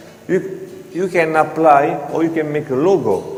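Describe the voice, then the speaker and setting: Male speech amid audible room echo and noticeable background noise. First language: not English. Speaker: floor grinding equipment presenter. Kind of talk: seminar presentation. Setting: hotel seminar with audience. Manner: halting.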